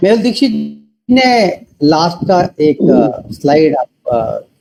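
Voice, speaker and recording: A man speaks in a dark, mellow tone with very wide pitch swings. The sound is dry and close, with no echo. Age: 60s. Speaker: network marketing leader. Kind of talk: motivational talk.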